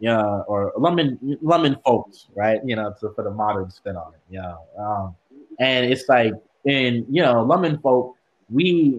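Speaking at a fairly slow pace with an American accent, a man uses a plain, everyday voice of medium pitch, with lively intonation and big swings in loudness. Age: young. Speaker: student activist. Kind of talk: casual chat.

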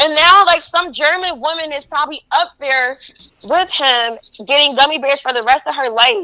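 Raised and projected, a woman's high voice has a bright, sharp tone and an American accent, with ordinary pitch variation at a moderate pace. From New Jersey, East Orange. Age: 20s. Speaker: comedian. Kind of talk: casual chat.

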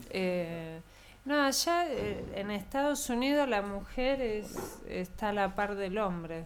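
A woman's medium-pitched voice at a very slow pace, with very wide pitch swings and audible room echo. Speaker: blues singer. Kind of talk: casual chat. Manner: soft-spoken.

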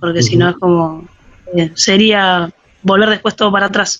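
With a plain, everyday voice, a woman talks at a medium pitch with fairly even intonation. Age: 30s. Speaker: university student, physical education teacher. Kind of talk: casual interview.

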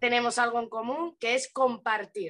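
A woman's bright, sharp voice sits fairly high, with ordinary pitch variation and a moderate pace. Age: 30s. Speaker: spiritual content creator. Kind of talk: casual interview.

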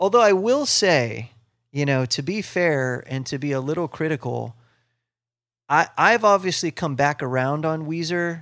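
This man speaks with a Midwestern American accent. His fairly high voice has lively intonation. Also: moderate pace. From US Midwest, Ohio near Cleveland. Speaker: musician and comedian, radio host. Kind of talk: casual chat.

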